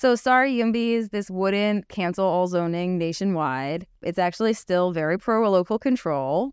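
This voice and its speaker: A woman at medium pitch talks at a moderate pace with lively intonation and hardly any pauses. The recording is very clean with a silent background and a dry, close sound with no echo. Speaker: podcast host, housing advocacy director. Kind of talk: interview conversation. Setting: office in Washington, D.C.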